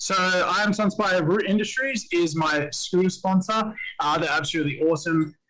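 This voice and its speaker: Speaking with an Australian accent, a man uses a bright, sharp tone at a moderate pace with ordinary pitch variation. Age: 20s. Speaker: pro scooter rider and skatepark owner. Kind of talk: podcast interview.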